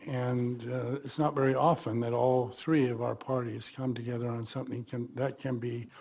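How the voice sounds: His male voice carries a dark, mellow tone.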